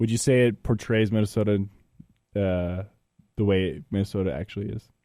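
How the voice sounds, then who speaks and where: Talking at a fairly quick pace, a man with an American accent uses a fairly low pitch, a dark, mellow tone and ordinary pitch variation. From Payson, Utah. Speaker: podcast host. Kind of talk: casual chat. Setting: studio.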